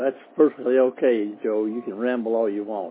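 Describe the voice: With a slightly husky edge, a man talks at a fairly quick pace in fairly even intonation. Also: medium pitch for a man.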